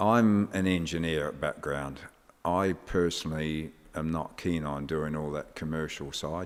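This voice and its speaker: Speaking at a fairly slow pace with an English accent, a man uses a very deep, low pitch and fairly even intonation. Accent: sounds very English. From New Zealand. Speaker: motorsport engineer and team boss. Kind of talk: podcast interview.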